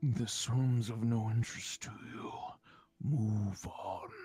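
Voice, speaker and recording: A man puts on a menacing character voice at medium pitch. He speaks fairly slowly with fairly even intonation. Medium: actual play. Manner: menacing, cryptic.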